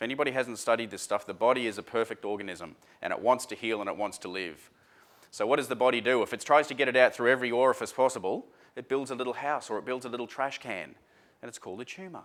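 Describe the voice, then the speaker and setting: This man speaks very fast in an Australian accent, his medium pitch showing ordinary variation and an animated tone. The recording is very clean with a silent background. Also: big swings in loudness. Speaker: seminar speaker. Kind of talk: seminar talk to audience.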